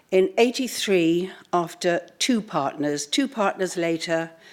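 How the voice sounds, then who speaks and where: Speaking in a British accent, a woman uses a medium pitch and lively intonation. Her pace is very slow. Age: 70s. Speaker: fashion entrepreneur. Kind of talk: conference talk. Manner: hesitant, frequent ums.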